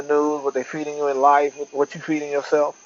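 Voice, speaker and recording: Over noticeable background noise, a man with a fairly high pitch speaks at a very fast pace. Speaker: vlogger. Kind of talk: casual monologue. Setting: outdoors on porch.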